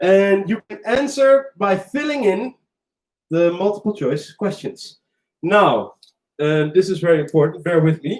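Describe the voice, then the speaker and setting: Speaking with a Dutch accent, a man uses lively intonation at a high pitch for a man. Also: fairly slow pace. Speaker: quiz host. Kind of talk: online pub quiz hosting. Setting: live stream from a cafe. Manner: animated.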